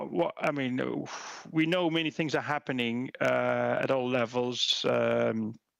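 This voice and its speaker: The speaker has a Belgian accent and lively intonation. The pace is fairly slow. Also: man. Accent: Belgian accent, similar to German. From Belgium. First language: not English. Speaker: policy researcher. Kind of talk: conference presentation. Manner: halting, many fillers and repetitions.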